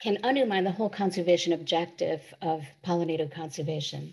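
A woman speaks at a fairly quick pace with a dark, mellow tone. The background is quiet. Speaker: presenter. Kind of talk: webinar presentation. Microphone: video call.

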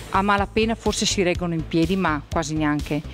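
Clear music plays in the background. A woman speaks over it at a fairly low pitch. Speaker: interview guest. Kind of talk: interview answer. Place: studio. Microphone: handheld.

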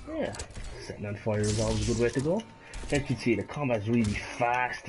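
Behind a man speaking at a medium pitch, the background noise is noticeable. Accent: Irish. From Ireland. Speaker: gaming YouTuber. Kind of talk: game review with gameplay commentary. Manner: animated.

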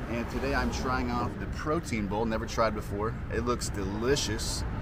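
A man speaks at a moderate pace in a dry sound with no echo, over loud background noise. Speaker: food vlogger. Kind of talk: casual vlog chat, food review. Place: cafe.

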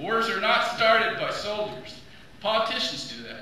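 In a room with strong echo and light background noise, a man speaks in a raised, projected voice. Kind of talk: formal speech. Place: hall. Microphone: podium.

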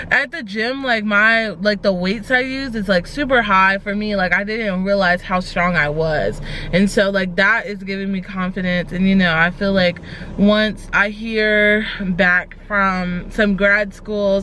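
Against light background noise, a woman speaks at a fairly slow pace with fairly even intonation, the sound dry with no echo. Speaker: vlogger. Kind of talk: casual vlog chat. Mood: reflective, candid. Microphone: phone near.

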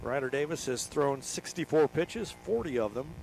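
A man's voice with vocal fry, ordinary pitch variation and a fairly slow pace. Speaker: baseball play-by-play announcer. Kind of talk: live baseball play-by-play commentary. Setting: outdoors at a windy ballpark, broadcasting live.

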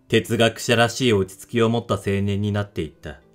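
A man with a medium pitch speaks over music in the background. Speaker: audiobook narrator / reader of classic literature. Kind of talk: literary reading (rōdoku) of a novel, audiobook style.

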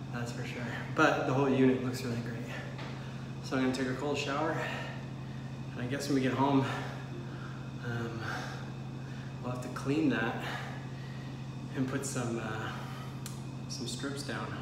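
Through audible room echo and loud background noise, a man talks with long, frequent pauses. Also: moderate pace. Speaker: vlogger. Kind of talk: casual vlog chat. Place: bathroom. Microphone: phone near.

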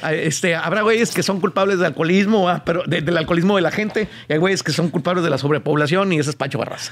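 Delivered at a very fast pace with hardly any pauses, the speech holds very even loudness and ordinary pitch variation. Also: man, high pitch for a man. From Mexico. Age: 50s. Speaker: podcast host. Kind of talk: casual interview. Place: studio. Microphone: studio mic.

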